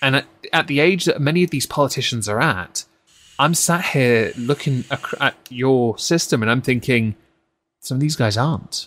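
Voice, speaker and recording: With a West Country accent, a man talks at a moderate pace. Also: medium pitch for a man, ordinary pitch variation. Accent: southwest English, West Country. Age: 30s. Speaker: stream host. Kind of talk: casual chat, political commentary livestream. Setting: online livestream. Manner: joking, casual.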